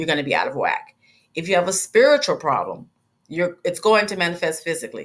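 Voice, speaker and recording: Using a normal speaking voice, a woman talks at a fairly quick pace with a fairly low pitch and lively intonation. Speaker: holistic medicine instructor. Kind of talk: lecture. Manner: casual, conversational.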